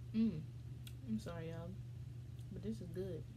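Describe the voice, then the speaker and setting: Very deep, low female voice over noticeable background noise. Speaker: mukbang vlogger. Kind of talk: casual vlog chat. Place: home room. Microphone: phone near.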